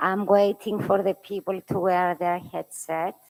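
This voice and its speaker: A woman with a Greek accent speaks at a medium pitch, the sound dry and close with no echo. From Cyprus. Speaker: committee chair. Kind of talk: formal meeting opening speech. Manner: halting.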